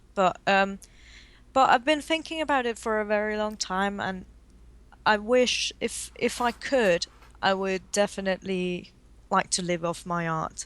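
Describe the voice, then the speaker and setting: In a posh English accent, a woman with a medium-pitched voice speaks fairly slowly with lively intonation, on a very clean recording with a silent background. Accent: fluent, posh-sounding English. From Denmark. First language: Danish. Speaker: watercolor artist. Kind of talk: casual interview.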